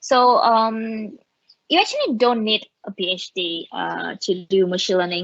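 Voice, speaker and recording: At a moderate pace, a woman with a Vietnamese accent speaks with fairly even intonation in a dry, close sound with no echo. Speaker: machine learning engineer. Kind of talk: conference talk. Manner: halting, many fillers.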